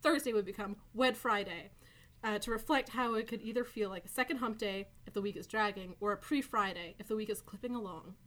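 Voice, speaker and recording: A woman with an unremarkable speaking voice talks at a fairly quick pace. Her pitch varies in an ordinary way. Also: fairly high pitch for a woman. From Newfoundland, Canada. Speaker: podcast co-host, filmmaker and comedian. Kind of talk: casual chat.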